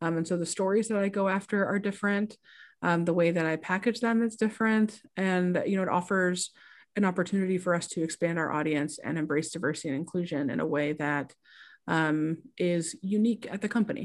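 The speaker has a Midwestern American accent and ordinary pitch variation. The recording is very clean, with a silent background. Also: woman, medium pitch for a woman, fairly quick pace. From small-town Indiana. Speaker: sports journalist. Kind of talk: casual interview.

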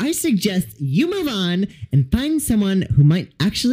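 The speaker reads aloud plainly. Nothing more is added to the reading.

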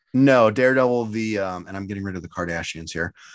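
A man's fairly low, unremarkable speaking voice at a fairly quick pace, with ordinary pitch variation and a quiet background. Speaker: podcast host. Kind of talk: casual chat. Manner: casual, chatty.

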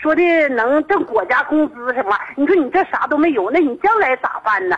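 A woman with a Northeastern Chinese accent speaks at a high pitch with very wide pitch swings over noticeable background noise. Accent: Northeastern Mandarin. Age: 50s. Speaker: radio call-in listener. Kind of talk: phone-in confiding personal problem. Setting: phone call.

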